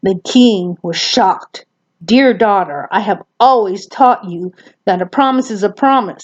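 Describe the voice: Someone reads aloud plainly. The background is quiet.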